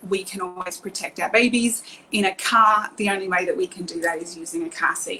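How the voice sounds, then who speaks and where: Speaking in an Australian accent, a woman talks at a moderate pace with medium pitch and ordinary pitch variation. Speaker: car seat safety technician. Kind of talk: live stream presentation. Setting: online live video. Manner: hesitant with many fillers.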